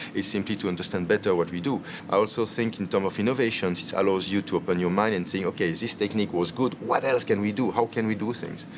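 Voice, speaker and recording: A man talks at a very fast pace, his pitch fairly low and his intonation fairly even. Noticeable background noise sits behind him. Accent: Belgian French. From Belgium (Wallonia). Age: 50s. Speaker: chef and restaurant owner. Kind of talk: interview.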